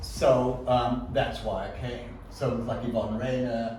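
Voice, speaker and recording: A man talks fairly slowly amid audible room echo and noticeable background noise. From South Africa. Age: 60s. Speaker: photographer, artist. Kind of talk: artist talk with audience Q&A. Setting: art gallery with live audience. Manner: halting, many fillers.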